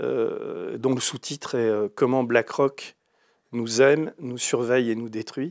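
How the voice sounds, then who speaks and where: A man speaks at a very slow pace and a medium pitch, with fairly even intonation. The background is quiet. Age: 60s. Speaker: writer and investigative journalist; investigative journalist. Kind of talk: interview. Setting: studio, live stream. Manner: hesitant, many fillers. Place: studio.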